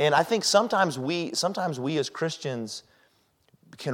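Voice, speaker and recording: A man with an American accent talks at a moderate pace with lively intonation. The recording is very clean, its background silent. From Colorado. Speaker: pastor. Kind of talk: sermon. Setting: church. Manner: casual, hesitant with fillers.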